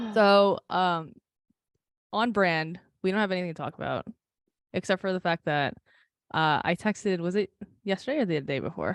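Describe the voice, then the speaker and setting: A woman with a New Jersey accent speaks at a medium pitch with ordinary pitch variation and long, frequent pauses. The sound is dry and close with no echo, over a quiet background. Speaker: podcast co-host. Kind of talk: casual chat. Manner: fast.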